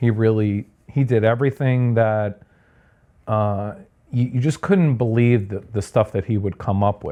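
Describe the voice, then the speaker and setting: A man with a Long Island accent speaks at a fairly low pitch in a dark, mellow tone. His intonation stays fairly even at a fairly slow pace against a quiet background. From Long Island, New York (Sayville). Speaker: architect. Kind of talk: podcast interview. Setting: at home. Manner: casual, hesitant with fillers.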